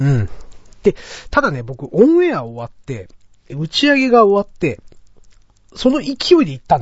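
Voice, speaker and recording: A man at a moderate pace, with very wide pitch swings, big swings in loudness, and long, frequent pauses. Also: fairly high pitch for a man. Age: middle-aged. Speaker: podcast host. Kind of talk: casual chat.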